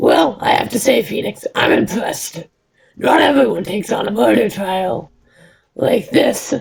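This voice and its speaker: This put-on character voice is raspy and fairly high-pitched, moving at a moderate pace. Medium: game stream. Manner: warm, composed.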